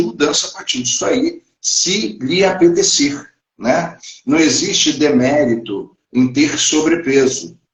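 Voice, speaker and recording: A man speaks with lively intonation at a fairly high pitch. His pace is fairly slow. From Brazil, Paraná (Foz do Iguaçu, Curitiba). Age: 50s. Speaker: livestream host talking about self-care. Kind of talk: live stream talk to viewers. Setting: online livestream. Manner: halting, repeats words.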